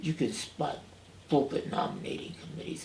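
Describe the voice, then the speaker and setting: In an American accent, a man speaks over noticeable background noise. Audible room echo surrounds his voice. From New York City, the Bronx. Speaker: retired minister and seminary professor. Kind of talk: oral history interview. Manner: halting, many fillers and restarts.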